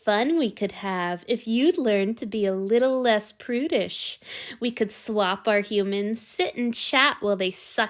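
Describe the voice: Straightforward, plain reading aloud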